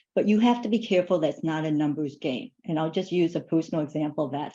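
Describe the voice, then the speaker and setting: A woman speaks with a dark, mellow tone, a fairly low pitch and ordinary pitch variation. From Asia, raised partly in a refugee camp. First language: not English. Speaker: finance executive, panelist. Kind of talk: panel discussion.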